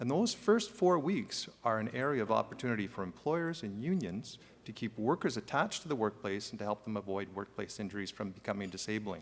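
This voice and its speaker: In a very clean recording with a silent background, a man with a slight French Canadian accent speaks at a medium pitch. His pace is fairly quick, with hardly any pauses and lively intonation. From Quebec / French Canada. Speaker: workers' compensation executive, panelist. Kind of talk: conference panel talk. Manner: fast.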